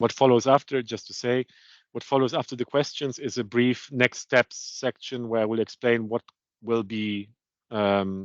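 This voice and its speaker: Using an unremarkable speaking voice, a man talks at a medium pitch and moderate pace with fairly even intonation. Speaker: procurement consultant presenting. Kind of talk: webinar presentation.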